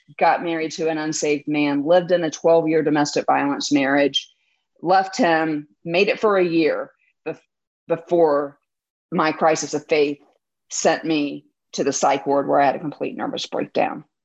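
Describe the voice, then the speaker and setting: This woman has a normal speaking voice with a fairly low pitch. She talks at a fairly slow pace, with ordinary pitch variation. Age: 40s. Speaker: trauma survivor sharing her faith story. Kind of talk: interview testimony.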